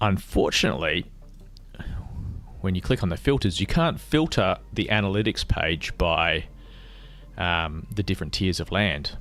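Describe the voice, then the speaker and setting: Pitch varying in an ordinary way, a man delivers his words fairly slowly. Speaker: crypto gaming streamer. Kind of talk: live stream tutorial. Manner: casual, explanatory.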